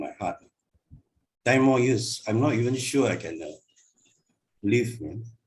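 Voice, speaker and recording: The man speaks at a moderate pace with medium pitch and a somewhat breathy quality. Long, frequent pauses break up his speech, and his loudness swings widely. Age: 60s. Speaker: Buddhist teacher. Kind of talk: Dharma class talk. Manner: hesitant, many fillers.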